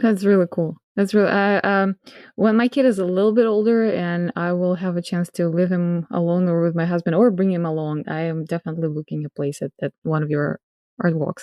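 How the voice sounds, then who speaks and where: A woman with a non-native accent speaks at a fairly quick pace with ordinary pitch variation. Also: fairly low pitch for a woman. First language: not English. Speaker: podcast host. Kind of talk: casual interview chat. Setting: home, garage behind her. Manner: halting, hesitant.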